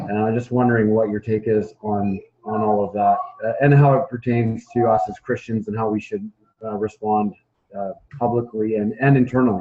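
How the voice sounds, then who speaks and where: With a Canadian accent, a man talks at a moderate pace and medium pitch with fairly even intonation. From Canada. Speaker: audience member asking a question. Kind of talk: audience question. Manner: halting, many fillers.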